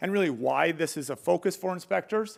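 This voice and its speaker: On a very clean recording with a silent background, a man talks fairly quickly at a high pitch. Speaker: solar industry trainer and contractor. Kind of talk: conference presentation. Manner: fast.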